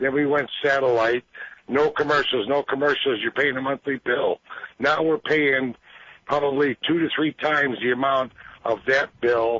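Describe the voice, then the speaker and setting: At a moderate pace, a normal speaking voice talks with fairly even intonation and very even loudness. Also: man, fairly high pitch for a man. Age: 50s. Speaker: caller. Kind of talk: call-in talk radio. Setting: phone call.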